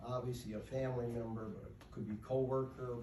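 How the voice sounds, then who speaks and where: A man with an American accent speaks with fairly even intonation amid noticeable background noise and audible room echo. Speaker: award recipient and advocate for the incarcerated. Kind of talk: acceptance speech. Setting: stage with audience, microphone dead. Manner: loud; halting.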